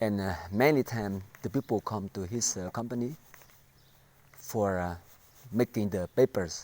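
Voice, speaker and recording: Recorded in a dry, close sound with no echo, a man with a fairly low pitch talks at a moderate pace with ordinary pitch variation and long, frequent pauses. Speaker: vlogger telling life story. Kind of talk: personal testimony. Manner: halting, many fillers and repetitions.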